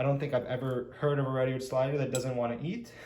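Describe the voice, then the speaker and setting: Talking at a fairly quick pace, a man with a fairly high pitch is heard with audible room echo. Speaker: pet-keeping YouTuber. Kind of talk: tutorial. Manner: casual.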